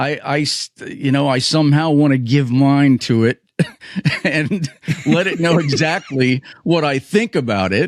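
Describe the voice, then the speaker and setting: Dry and close with no echo, a man's fairly high voice moves at a fairly slow pace with ordinary pitch variation. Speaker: podcast co-host. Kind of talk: casual chat. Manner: animated, loud.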